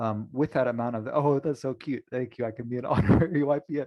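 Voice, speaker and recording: Talking at a fairly quick pace, a man with a plain, everyday voice speaks at a fairly high pitch with ordinary pitch variation. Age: 40s. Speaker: webinar moderator. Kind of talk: moderated webinar discussion.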